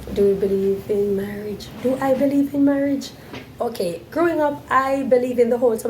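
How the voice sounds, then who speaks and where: A woman's fairly quick speech with lively intonation, noticeable background noise and audible room echo. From Jamaica, Montego Bay. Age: 40s. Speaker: vlogger. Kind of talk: Q&A monologue to camera.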